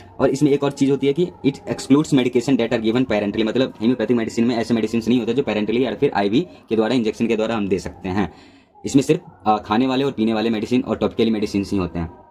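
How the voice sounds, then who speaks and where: Noticeable background noise accompanies a man whose medium-pitched voice shows ordinary pitch movement. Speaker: pharmacy lecturer. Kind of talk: lecture. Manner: hesitant fillers.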